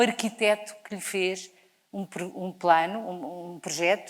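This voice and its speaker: A woman is speaking. Her pace is very slow. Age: 60s. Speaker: charity leader. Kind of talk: inspirational talk. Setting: stage with audience. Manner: animated.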